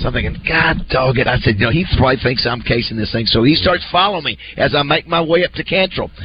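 Through noticeable background noise, a man rattles along at a very fast pace with a fairly high pitch and lively intonation. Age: 30s. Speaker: radio host. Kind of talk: casual chat.

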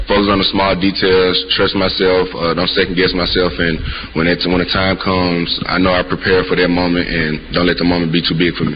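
In a Mississippi accent, a man talks at a fairly quick pace with a very deep, low pitch, monotone, flat intonation and very even loudness, with noticeable background noise and audible room echo. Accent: Mississippi Southern. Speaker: college football quarterback. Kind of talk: press conference.

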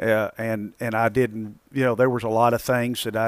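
With a Southern US accent, a man speaks at a medium pitch and a moderate pace, his intonation monotone and flat. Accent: Southern US, noticeable. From Arkansas. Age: 50s. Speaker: amateur golfer. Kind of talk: casual interview.

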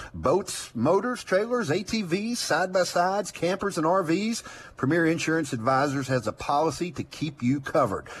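Very wide pitch swings in a fairly high male voice. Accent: Southern US. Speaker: outdoors radio host. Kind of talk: casual chat.

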